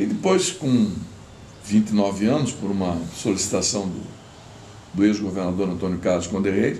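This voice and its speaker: A man speaks at a fairly low pitch with ordinary pitch variation. His pace is fairly slow, and room echo is audible. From Santa Catarina coast, southern Brazil (Itajaí). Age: 70s. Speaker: retired engineer and former politician. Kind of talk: interview, personal history. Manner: conversational, halting with self-corrections.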